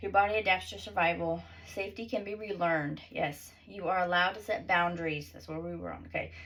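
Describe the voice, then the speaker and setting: Speaking very fast, a woman swings widely in loudness while audible room echo surrounds her voice. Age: 30s. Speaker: author and self-help vlogger. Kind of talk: casual vlog, reading own book with asides. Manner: rambling, halting.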